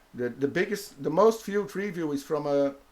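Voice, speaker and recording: With a Dutch accent, a man speaks using lively intonation. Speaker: vape reviewer and show host. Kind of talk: casual chat on live show. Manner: halting, with false starts.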